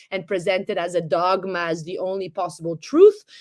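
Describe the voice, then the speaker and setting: A woman with an Italian accent, fairly quick pace and lively intonation, in a very clean recording with a silent background. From Italy. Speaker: economist and historian. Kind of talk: interview. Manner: articulate, fluent.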